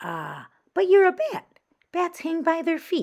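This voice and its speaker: A loud, put-on character voice speaks at a fairly slow pace with an extremely high pitch. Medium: read story.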